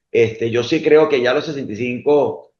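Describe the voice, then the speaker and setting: The voice belongs to a man with a medium pitch. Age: 60s. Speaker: accounting firm managing partner. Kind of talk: interview conversation. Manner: hesitant with many fillers and repetitions.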